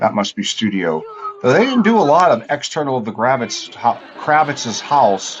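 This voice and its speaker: A man mumbles at a moderate pace and a medium pitch. His pitch swings very widely over noticeable background noise. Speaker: TV show commentator. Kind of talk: casual chat. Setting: studio. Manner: mumbling.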